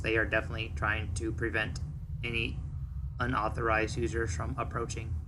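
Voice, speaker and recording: Someone does a put-on character voice at a fairly quick pace over loud background noise. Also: man, fairly low pitch for a man. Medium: actual play. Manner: formal, precise, avoids contractions.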